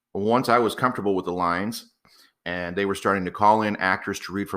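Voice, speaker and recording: Loud, bright and sharp, a man with an American accent at a fairly low pitch and a very fast pace. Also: very clean recording, silent background. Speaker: podcast host, copywriter and acting coach. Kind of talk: solo podcast monologue.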